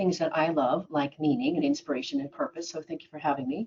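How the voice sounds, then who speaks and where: A woman with an American accent talks at a very fast pace. Her intonation is lively. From Oregon, US. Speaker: business speaker and radio host. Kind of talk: webinar presentation.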